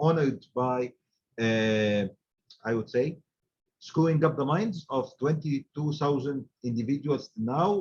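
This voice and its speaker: A man speaks with an Arabic accent at a medium pitch. He goes at a fairly slow pace with ordinary pitch variation. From Egypt. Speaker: supply chain director and trainer. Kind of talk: webinar talk. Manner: halting, many fillers.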